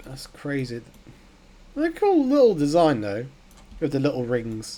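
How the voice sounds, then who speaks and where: A man talks at a fairly slow pace, his loudness swinging widely. Noticeable background noise runs behind him. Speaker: gaming YouTuber. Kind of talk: gameplay commentary. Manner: casual, excitable.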